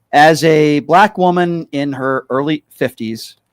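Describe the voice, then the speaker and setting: With a normal speaking voice and lively intonation, a man talks at a fairly high pitch in a dry, close sound with no echo. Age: 40s. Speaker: radio talk show host. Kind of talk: call-in talk show.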